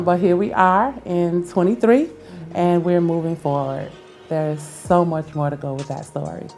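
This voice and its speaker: Fairly low female voice at a moderate pace with ordinary pitch variation and music in the background. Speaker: interview guest, staffing agency founder.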